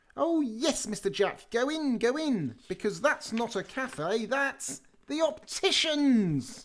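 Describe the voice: This put-on character voice is squeaky and fairly high-pitched. It moves at a fairly slow pace.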